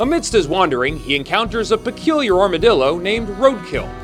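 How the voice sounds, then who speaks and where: Music is playing behind the voice. A man talks at a moderate pace. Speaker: voice actor. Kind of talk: movie recap narration.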